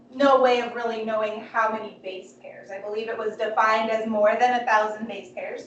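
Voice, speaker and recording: A woman with a fairly high pitch talks amid noticeable background noise and audible room echo. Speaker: biology instructor. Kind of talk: lecture. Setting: classroom. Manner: loud.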